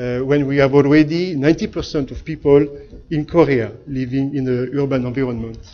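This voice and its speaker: A man with a strong French accent talks at a fairly quick pace. His pitch is fairly high and his intonation fairly even. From France. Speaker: architect and company founder. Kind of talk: seminar talk. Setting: lecture hall with audience. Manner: hesitant, many filler sounds.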